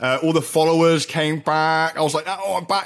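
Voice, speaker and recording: At a very fast pace, a man with an English accent speaks in a fairly high pitch. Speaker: radio host and chemist. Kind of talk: casual chat.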